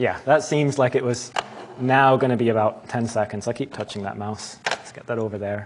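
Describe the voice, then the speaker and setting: The speaker, with an American accent, talks at a moderate pace with fairly even intonation. Loudness swings widely, and there is noticeable background noise. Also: man, medium pitch for a man. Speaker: tutorial leader at summer school. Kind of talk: tutorial.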